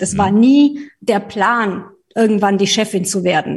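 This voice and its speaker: A woman with a slight Bavarian accent, fairly high pitch, and a somewhat breathy voice. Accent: slight Bavarian tinge. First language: not German (speaking German). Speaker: trade association executive. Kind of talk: interview. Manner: hesitant, many fillers.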